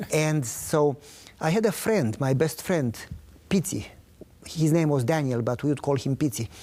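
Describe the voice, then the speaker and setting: A man with a Romanian accent talks at a moderate pace, his fairly high pitch carried by a dark, mellow tone and lively intonation. Loudness stays very even, broken by long, frequent pauses. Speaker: pastor. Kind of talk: interview testimony.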